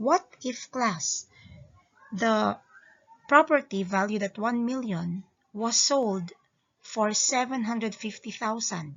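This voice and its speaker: Somewhat breathy, a woman speaks at a very slow pace in a fairly high pitch, with ordinary pitch variation. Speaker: lawyer and accountancy lecturer. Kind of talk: informal law lecture.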